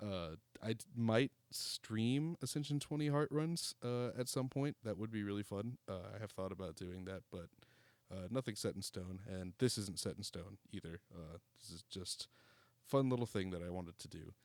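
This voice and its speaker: With an ordinary speaking voice, a man talks at a moderate pace in a fairly low pitch, his intonation lively and his loudness swinging widely, in a dry, close sound with no echo. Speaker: gaming commentator and podcast co-host. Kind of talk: gameplay commentary. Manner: casual, frequent filler words.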